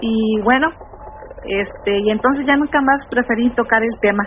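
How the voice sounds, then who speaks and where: A woman talks at a high pitch and a fairly slow pace with ordinary pitch variation. There is noticeable background noise. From Tamaulipas, Mexico. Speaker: caller. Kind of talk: phone-in story. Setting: phone call.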